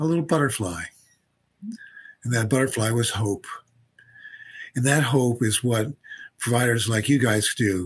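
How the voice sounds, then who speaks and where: Somewhat breathy, a man speaks at a medium pitch and moderate pace with ordinary pitch variation and long, frequent pauses. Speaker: physician and researcher. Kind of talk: interview conversation. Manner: halting, repeats words.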